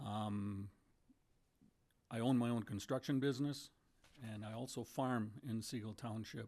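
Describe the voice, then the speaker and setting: Over a quiet background, a man with an Upper Midwest accent speaks in a dark, mellow tone with fairly even intonation and long, frequent pauses. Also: medium pitch for a man, fairly slow pace. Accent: Upper Midwest American. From rural Minnesota. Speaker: political candidate, builder and farmer. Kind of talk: candidate forum opening statement.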